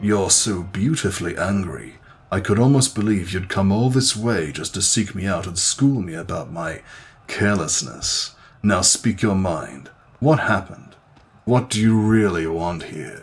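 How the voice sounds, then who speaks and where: A man's put-on character voice, fairly low in pitch, with lively intonation and a moderate pace. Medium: solo performance. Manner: nervous, rambling.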